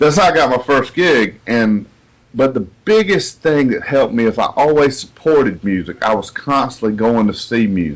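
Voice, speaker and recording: With a Southern US accent, a man talks at a moderate pace in a medium pitch, his intonation lively. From US South, south Georgia. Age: 40s. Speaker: singer-songwriter. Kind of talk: interview.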